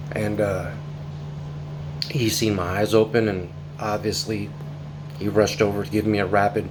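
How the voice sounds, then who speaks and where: An American accent with ordinary pitch variation, audible room echo and noticeable background noise. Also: man. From northern California. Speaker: covid survivor vlogger. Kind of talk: personal testimony. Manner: casual, with many fillers.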